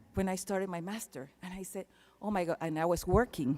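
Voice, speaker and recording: A woman's dark, mellow tone at a fairly low pitch, with a Panamanian accent. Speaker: keynote speaker. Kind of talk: commencement speech. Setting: arena stage with audience.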